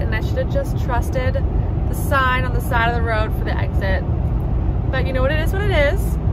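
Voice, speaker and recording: A woman talks at a fairly quick pace over loud background noise, the sound dry with no echo. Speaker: vlogger on a solo road trip. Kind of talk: casual vlog chat. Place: car. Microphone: phone near.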